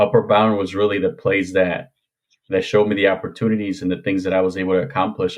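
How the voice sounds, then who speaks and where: A man speaks with a Spanish accent at a fairly low pitch. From Mexico, moved to Indiana at 13. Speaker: former police officer. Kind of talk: podcast interview.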